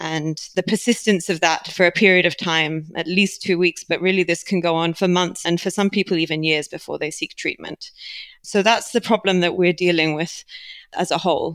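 In a British accent, a woman with a fairly low voice talks at a moderate pace with fairly even intonation, the sound dry and close with no echo. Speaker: biotech company leader. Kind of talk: interview.

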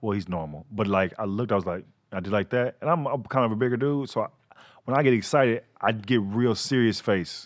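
A man with an American accent uses a normal speaking voice at medium pitch. He talks at a fairly quick pace with ordinary pitch variation, over a quiet background. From Texas, Fort Worth. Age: 30s. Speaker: comedian. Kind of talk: casual chat.

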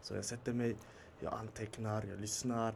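The speaker is a man talking at a moderate pace. Background noise is noticeable. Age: 20s. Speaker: podcast guest. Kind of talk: casual chat. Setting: studio with small live audience.

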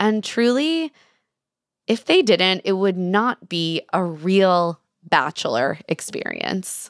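Speaking at a very slow pace, a woman uses lively intonation at a medium pitch, recorded with a dry, close sound and no echo. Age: 30s. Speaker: journalist and podcast host. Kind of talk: interview.

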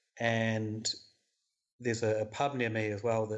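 In a New Zealand accent, a man speaks at a medium pitch. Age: 30s. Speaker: beer writer and podcaster. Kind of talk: interview.

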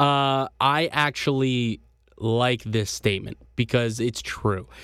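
In a very clean recording with a silent background, a man of medium pitch uses an ordinary speaking voice with ordinary pitch variation. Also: dry, close sound with no echo. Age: 20s. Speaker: sports podcast host. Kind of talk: casual sports commentary.

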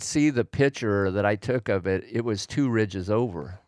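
In a very clean recording with a silent background and a dry, close sound with no echo, a man with an American accent has a plain, everyday voice, medium pitch, ordinary pitch variation and a moderate pace. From Oregon, US Pacific Northwest. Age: 60s. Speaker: hunter and backpacker, host's father. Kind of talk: casual chat.

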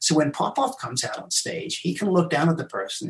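A man speaks with lively intonation and vocal fry. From England and South Africa. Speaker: mentalist and magician. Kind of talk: casual interview. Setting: live stream video call.

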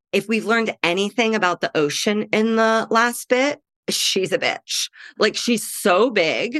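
The recording is dry and close with no echo. A woman with a fairly high pitch talks at a fairly slow pace with ordinary pitch variation, in an ordinary speaking voice. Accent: American. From US Midwest. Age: 30s. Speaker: comedian. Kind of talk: casual chat.

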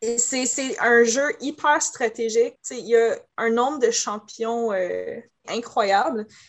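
A woman with a fairly high voice speaks very slowly, her pitch moving in an ordinary way. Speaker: cosplayer. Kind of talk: casual chat.

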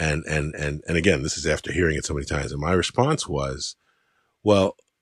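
A man's very deep, low voice with vocal fry, ordinary pitch variation and a moderate pace, in a dry, close sound with no echo. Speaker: podcast host, writer. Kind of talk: casual conversation.

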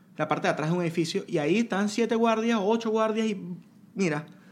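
Speaking with a Lara Venezuelan accent, a man with a high pitch uses an animated tone, ordinary pitch variation, and a moderate pace. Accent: Venezuelan Spanish (Lara, guaro). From Venezuela, Lara state (Duaca). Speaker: podcast guest. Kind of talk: casual chat.

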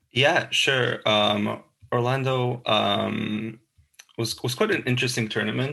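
In a Slovak accent, a man speaks at a medium pitch and a very slow pace. His intonation stays fairly even, with vocal fry. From Slovakia. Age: 20s. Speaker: tennis podcast co-host. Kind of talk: casual chat. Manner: halting, many fillers.

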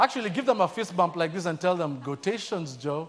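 A man with a Kenyan accent, high-pitched, lively in intonation, warm and relaxed in tone, at a moderate pace. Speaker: church staff member, guest preacher. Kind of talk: sermon. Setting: church with live audience. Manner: warm, humorous, relaxed.

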